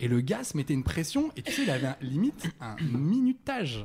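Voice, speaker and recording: This man's voice is somewhat breathy and his pitch swings very widely. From Saint-Étienne, France. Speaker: guest on a sex talk show. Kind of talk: casual chat.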